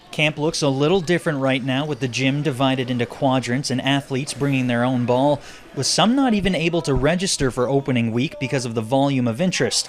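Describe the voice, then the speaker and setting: A man with fairly high pitch, very fast pace and hardly any pauses, over noticeable background noise. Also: ordinary pitch variation. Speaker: sports reporter. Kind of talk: TV news anchor read.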